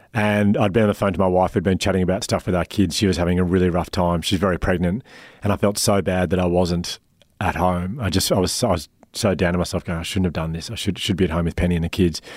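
A man with an Australian accent, very deep and low, fairly even in intonation, at a very fast pace, in a very clean recording with a silent background. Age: 40s. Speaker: founder of a wellbeing organisation, public speaker and podcaster. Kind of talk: interview. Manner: halting.

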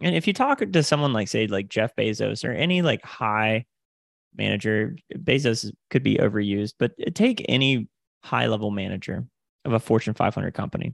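A man with an American accent speaks at a moderate pace, his fairly low pitch carrying lively intonation and vocal fry. The sound is dry and close with no echo, over a quiet background. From Florida Panhandle, US South. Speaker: sales coach and podcast host. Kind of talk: casual interview.

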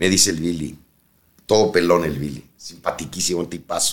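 At a moderate pace, a man speaks with a Mexican accent. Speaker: retired airline pilot. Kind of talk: anecdotal storytelling.

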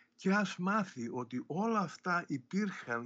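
Pitch swinging very widely, a man talks at a fairly slow pace. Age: 70s. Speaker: comic book writer. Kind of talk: interview.

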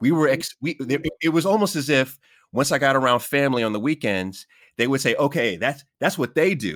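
A man with an American accent talks at a fairly quick pace with lively intonation and a fairly high pitch. It is an ordinary speaking voice, on a very clean recording with a silent background. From US Queens, New York. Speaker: podcast host. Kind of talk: casual interview.

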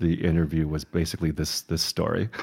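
A man with an American accent speaks in a very deep, low voice. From US Midwest, Chicago. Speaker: museum director, designer. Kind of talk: interview. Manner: halting, many repeated words and fillers.

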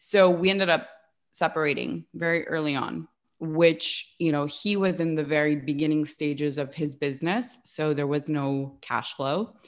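The recording is very clean, with a silent background. A woman with a very deep, low voice speaks in an American accent with ordinary pitch variation. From Los Angeles, US West Coast. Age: 30s. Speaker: life coach. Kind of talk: casual interview.

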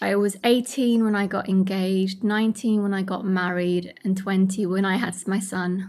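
A woman's medium-pitched, monotone voice with flat intonation, at a moderate pace with hardly any pauses, on a very clean recording with a silent background. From Iraqi Kurdistan, raised in London from young age. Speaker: charity founder. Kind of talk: interview testimony.

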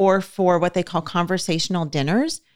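Against a silent background in a very clean recording, a woman with an ordinary speaking voice talks at a medium pitch with fairly even intonation. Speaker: podcast host. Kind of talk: casual chat.

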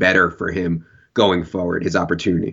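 With an American accent, the man talks at a fairly quick pace. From Virginia. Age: 30s. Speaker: fantasy football analyst. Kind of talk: casual chat.

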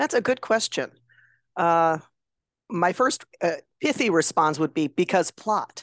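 A woman with an American accent speaks at a fairly slow pace and a fairly low pitch, her voice swinging very widely in pitch, with long, frequent pauses, in a dry, close recording with no echo and a quiet background. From Chicago area. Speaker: novelist and former drama teacher. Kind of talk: casual chat.

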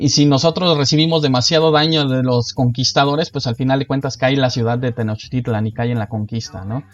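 Using a plain, everyday voice, a man speaks at a fairly quick pace with hardly any pauses, at medium pitch with ordinary pitch variation. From Mexico. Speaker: board game designer. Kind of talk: casual interview.

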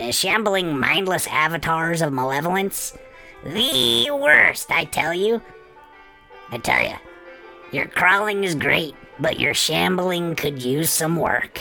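A put-on character voice at a middle pitch, speaking at a fairly slow pace. Clear music plays in the background. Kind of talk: campy horror host intro. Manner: gleeful, teasing, bossy.

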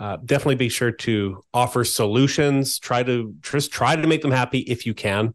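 An ordinary speaking voice from a man at medium pitch, ordinary pitch variation and a quiet background. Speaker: co-host, senior SEO specialist. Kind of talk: educational podcast discussion.

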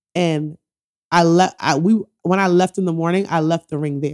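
With a New York accent, a woman speaks in a fairly low pitch, the sound dry and close with no echo. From New York, Bronx. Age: 30s. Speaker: podcast host. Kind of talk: casual chat.

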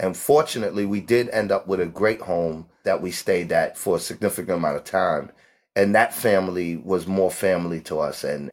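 In a New York accent, a man with a very deep, low pitch speaks at a moderate pace with ordinary pitch variation, recorded very cleanly against a silent background. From New York City, the Bronx. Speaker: homeless advocate. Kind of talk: interview.

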